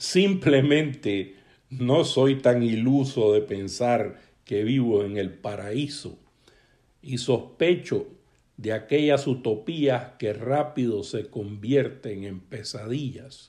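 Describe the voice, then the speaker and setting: A man's medium pitch with a dark, mellow tone, ordinary pitch variation and a very slow pace. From Nicaragua. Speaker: educator. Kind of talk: recorded testimony.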